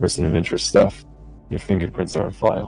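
A man puts on a raspy character voice at a fairly low pitch. He talks at a very fast pace while faint music plays in the background. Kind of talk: in-character roleplay dialogue. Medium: machinima. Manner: measured, conversational. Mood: methodical, explaining.

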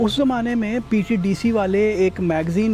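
A man speaks with ordinary pitch variation. The sound is dry with no echo, and faint music plays in the background. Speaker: interviewee. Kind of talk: interview answer, storytelling. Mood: amused, reminiscing. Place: garden.

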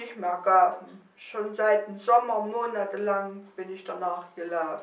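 In a Mansfeld accent, a woman speaks at a fairly slow pace, with audible room echo. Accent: Mansfeld dialect, central German. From Germany, Mansfeld region (Saxony-Anhalt); Saxony-Anhalt. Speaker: dialect poet. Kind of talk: poetry reading. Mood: calm, warm festive. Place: home room.

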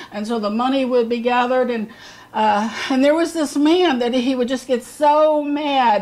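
A woman's high voice with ordinary pitch variation, at a fairly slow pace. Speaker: bible teacher. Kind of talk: sermon. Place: home room. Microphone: camera far.

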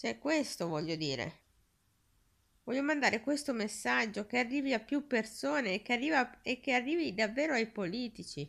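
A woman speaks at a moderate pace in a fairly high voice with vocal fry and very wide pitch swings, against a quiet background. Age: 30s. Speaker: video blogger. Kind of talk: direct-to-camera appeal. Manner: halting. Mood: earnest, pleading. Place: home room. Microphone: phone near.

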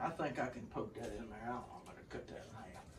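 A man talks at a fairly quick pace with a Southern US accent. There is light background noise. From US South. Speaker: hunter and home cook. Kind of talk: cooking tutorial. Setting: outdoor kitchen. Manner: casual, folksy. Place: kitchen. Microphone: camera far.

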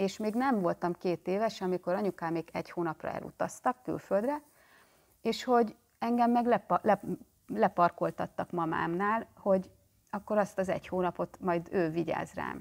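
A woman talks at a moderate pace with ordinary pitch variation. Her background is quiet. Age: 40s. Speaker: therapist and channel host; self-help psychology vlogger. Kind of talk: vlog monologue. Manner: animated. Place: home room. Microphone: phone near.

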